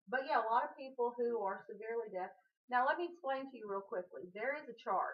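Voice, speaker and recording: A woman speaks with a Southern US accent. Her pace is fairly quick. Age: 40s. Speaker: vlogger. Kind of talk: casual chat.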